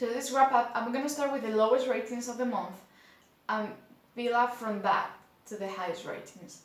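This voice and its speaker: With a Spanish accent, this speaker talks at a moderate pace with fairly even intonation, long and frequent pauses, and noticeable background noise. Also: woman, high pitch for a woman. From Spain. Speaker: book reviewer. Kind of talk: casual talk to camera.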